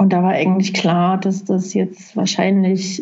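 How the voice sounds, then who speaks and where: Here a woman speaks very slowly at a medium pitch, somewhat breathy. Audible room echo surrounds her voice. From Saxony, Dresden. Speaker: film festival coordinator. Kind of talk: interview. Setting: video call. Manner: halting. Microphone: laptop.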